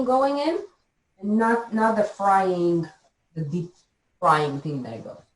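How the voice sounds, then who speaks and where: A somewhat breathy voice with very wide pitch swings. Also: woman. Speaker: health coach. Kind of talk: live cooking demo. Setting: video call. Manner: halting, repeats words.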